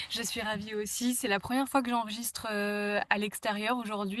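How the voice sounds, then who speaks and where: A woman talks fairly quickly at a fairly high pitch, her intonation monotone and flat. Noticeable background noise runs underneath. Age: 20s. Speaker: podcast host. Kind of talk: interview. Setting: outdoors in a garden. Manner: hesitant, many fillers.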